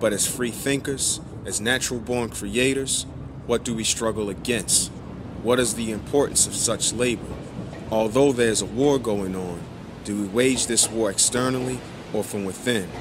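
A man talking at a moderate pace with fairly even intonation, noticeable background noise behind him. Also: medium pitch for a man. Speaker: spoken word poet. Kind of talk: spoken word poetry.

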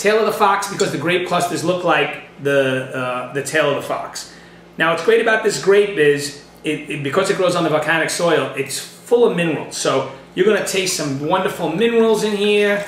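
A man's high-pitched voice with ordinary pitch variation, against noticeable background noise. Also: moderate pace. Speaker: wine shop host. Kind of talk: casual wine tasting talk to camera.

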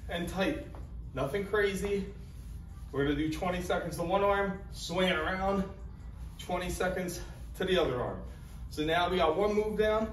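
Delivered at a moderate pace with ordinary pitch variation and long, frequent pauses, the speech carries audible room echo and light background noise. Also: man. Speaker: fitness trainer. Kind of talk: tutorial. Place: gym. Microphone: camera far.

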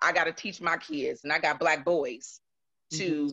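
A woman talks with a fairly low pitch and a bright, sharp tone. The background is quiet. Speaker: audience participant, domestic violence survivor. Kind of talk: personal testimony in panel discussion. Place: home room. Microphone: video call.

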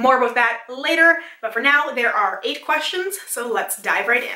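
A high-pitched woman at a fairly quick pace, with audible room echo. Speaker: beauty vlogger. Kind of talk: casual vlog chat. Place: home room.

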